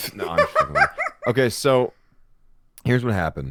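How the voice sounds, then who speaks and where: Speaking at a fairly quick pace, a man talks. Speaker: youtuber. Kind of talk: casual chat, comedic storytelling.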